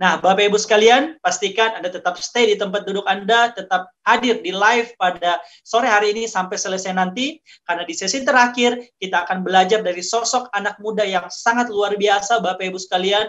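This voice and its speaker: This man's voice is high in pitch, with ordinary variation. He talks at a fairly quick pace with hardly any pauses. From Indonesia, Gorontalo. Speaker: network marketing distributor. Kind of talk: business testimony. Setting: at home, online livestream.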